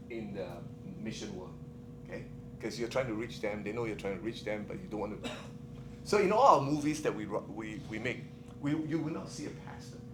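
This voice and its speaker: Speaking with a Singaporean accent, a man at a medium pitch uses lively intonation and a fairly quick pace broken by long, frequent pauses, with audible room echo and noticeable background noise. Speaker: missionary filmmaker. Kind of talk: conference talk. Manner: fast; animated.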